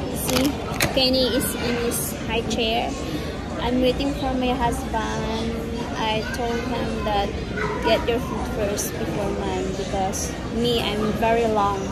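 Clear music sounds behind the speaker. The voice belongs to a woman. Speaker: vlogger. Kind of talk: casual vlog chat. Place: cafe. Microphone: phone near.

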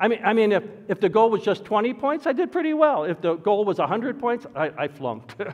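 In a Midwestern American accent, a man with a high pitch talks at a fairly quick pace, his voice making very wide pitch swings against a quiet background. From Detroit, Michigan. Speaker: pastor. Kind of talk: sermon. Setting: church. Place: church.

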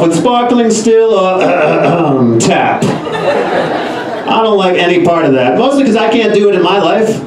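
A man's animated tone with lively intonation and very even loudness, hardly any pauses, audible room echo and noticeable background noise. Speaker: stand-up comedian. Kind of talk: stand-up comedy set with audience laughter. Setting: live club stage with audience. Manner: conversational, animated, rapid-fire joke delivery. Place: stage.

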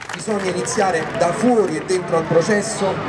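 Loud background noise surrounds a man speaking with ordinary pitch variation. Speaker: speaker. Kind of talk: public political speech. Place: street. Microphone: handheld.

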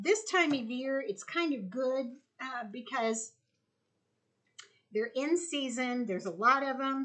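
A woman's raised, projected voice, bright and sharp in tone, at a fairly slow pace against a quiet background. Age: 60s. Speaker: homesteader. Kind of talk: casual vlog tutorial. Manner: casual, conversational with fillers. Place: kitchen. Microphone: camera far.

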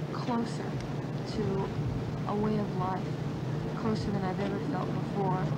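Over loud background noise, a woman speaks. Her pace is fairly slow. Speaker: social work student. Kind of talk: testimony. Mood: earnest, reflective. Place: garden. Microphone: old recording.

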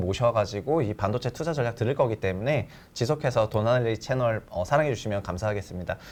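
The speaker talks at a fairly quick pace with ordinary pitch variation against a quiet background. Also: man. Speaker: investment research show host. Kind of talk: interview on stock investing. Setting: studio. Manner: animated, jokey.

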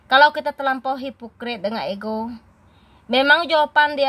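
A woman speaks loudly with ordinary pitch variation. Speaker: YouTuber. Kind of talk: vlog monologue.

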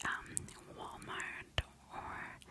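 Someone whispers, and the voice is a woman's. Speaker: ASMR creator. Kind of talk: ASMR whisper ramble. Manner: whispered. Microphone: studio mic.

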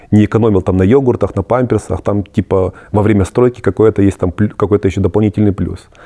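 A man's fairly low, dark and mellow voice moves at a fairly quick pace in a dry, close sound with no echo. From Germany (moved there at 14 from post-Soviet country). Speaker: emigrant interviewee. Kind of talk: interview. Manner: hesitant, many fillers.

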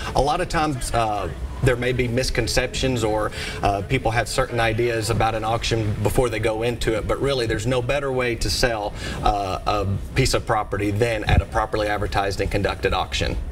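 A man with an American accent talks at a fairly quick pace with fairly even intonation over noticeable background noise. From Middle Tennessee, United States. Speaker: auctioneer and real estate broker. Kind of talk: TV interview answer. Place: studio. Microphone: lapel.

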